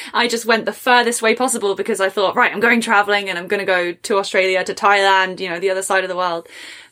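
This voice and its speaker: A woman talks at a very fast pace in a medium pitch, her tone bright and sharp. Her intonation stays fairly even. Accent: English. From England. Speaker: podcast host. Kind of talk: casual interview chat.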